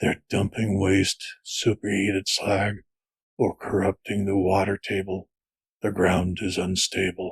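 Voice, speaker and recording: In a put-on character voice, a man speaks raspy and fairly low, fairly slowly and in a monotone, flat intonation, with a dry, close sound and no echo. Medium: read story. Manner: terse, grim.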